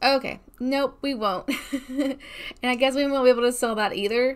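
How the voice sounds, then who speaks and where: Her talking moves at a moderate pace, the voice a woman's. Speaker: gamer streamer. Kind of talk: casual gameplay commentary. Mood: mildly frustrated, playful.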